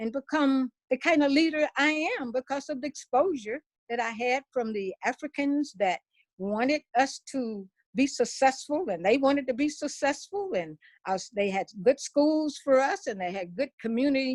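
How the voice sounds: At a moderate pace, a woman speaks with a high pitch and lively intonation. The sound is dry and close with no echo.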